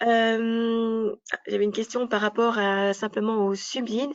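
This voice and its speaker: A woman's fairly high-pitched voice in a flat monotone. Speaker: business advisor presenting an information session. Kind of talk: information session presentation.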